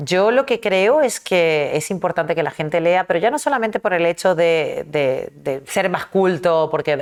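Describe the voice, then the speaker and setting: A woman speaks with lively intonation. Her pitch sits fairly low. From Argentina (early childhood), then Caracas, Venezuela (adolescence). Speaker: novelist. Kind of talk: interview.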